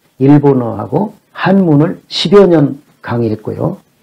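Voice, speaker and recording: A man is speaking. His intonation is lively. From South Korea, Jeolla (Gunsan/Jeonju). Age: 60s. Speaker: Chinese classics lecturer. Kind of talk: lecture. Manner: formal.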